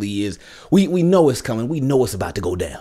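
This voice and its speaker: Over a quiet background, a man talks at a very fast pace with very wide pitch swings. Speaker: sports fan vlogger. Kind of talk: commentary. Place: home room.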